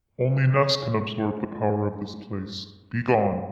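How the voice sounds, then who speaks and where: A man does a put-on character voice in a fairly low pitch. A clear echo surrounds it. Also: moderate pace. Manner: commanding and forbidding.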